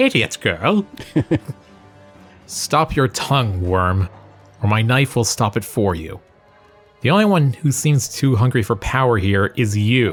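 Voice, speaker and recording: Over faint background music, a man does a put-on character voice that is gruff and medium in pitch, talking at a fairly slow pace. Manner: menacing.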